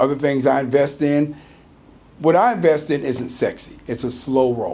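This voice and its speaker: A man in an American accent at a fairly slow pace. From United States. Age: 60s. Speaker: retired business owner. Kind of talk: interview. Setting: business premises. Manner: halting.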